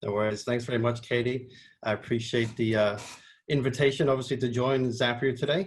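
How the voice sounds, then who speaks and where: Fairly quick, somewhat breathy delivery from a man of medium pitch, with fairly even intonation. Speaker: marketing agency head, webinar presenter. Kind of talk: webinar presentation. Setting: video call. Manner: casual with fillers.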